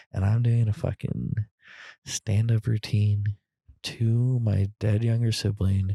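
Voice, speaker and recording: Someone whispers, soft-spoken and somewhat breathy, at a very slow pace. The recording is very clean, with a silent background and a dry, close sound with no echo. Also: man. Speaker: grieving sibling. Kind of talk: personal monologue. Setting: outdoors on a trail. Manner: whispering.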